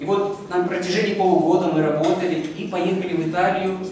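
Fairly even intonation at a fairly quick pace, with light background noise and strong room echo. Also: man. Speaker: exhibition volunteer. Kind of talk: testimony. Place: hall. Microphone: handheld.

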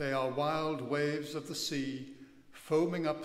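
A man talks at a very slow pace. Audible room echo follows his words. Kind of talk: scripture reading. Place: church. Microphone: podium.

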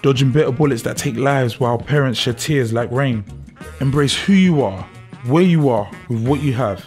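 Music plays in the background as a man speaks at medium pitch and a fairly quick pace. His pitch variation is ordinary. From South London. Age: 20s. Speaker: spoken word poet. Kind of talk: spoken word poetry.

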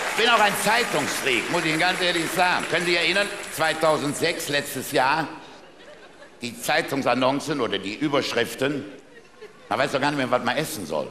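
A man with a fairly high pitch and lively intonation leaves long, frequent pauses. Room echo is audible, along with light background noise. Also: moderate pace. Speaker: carnival speaker (Büttenredner); speaker. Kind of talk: carnival stage speech with jokes. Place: stage. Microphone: headset.

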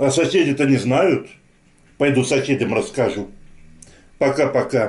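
This man's speech comes at a fairly slow pace and sounds somewhat breathy. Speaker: food vlogger. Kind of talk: casual vlog chat. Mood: cheerful, friendly. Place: kitchen. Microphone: phone near.

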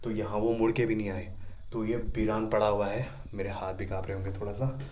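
Moderate-paced, monotone, flat speech from a man at a fairly low pitch, over light background noise. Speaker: camping vlogger. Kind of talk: casual vlog chat. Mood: nervous, hushed storytelling. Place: empty room. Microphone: phone near.

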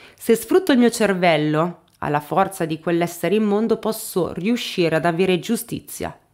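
A woman talks with very wide pitch swings, and the background stays quiet. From northern Italy, Piedmont. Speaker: true crime YouTuber. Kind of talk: true crime narration, reading a confession aloud. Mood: serious, dramatic. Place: home room. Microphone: studio mic.

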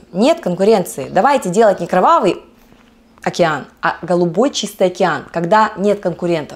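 A woman talks at medium pitch and a moderate pace. Her intonation is lively. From Vladivostok, Russian Far East. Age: 30s. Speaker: network marketing distributor. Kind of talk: casual talk to camera. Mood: upbeat, animated. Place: home room. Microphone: lapel.

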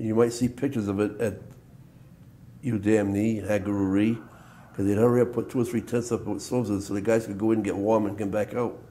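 A man speaks fairly quickly at a fairly low pitch, his tone dark and mellow. His pitch moves little, and room echo is audible.

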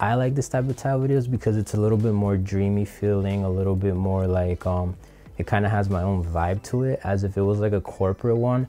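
Fairly quick and with ordinary pitch variation, a man's fairly low voice carries a dark, mellow tone. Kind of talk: tutorial. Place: studio. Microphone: lapel.

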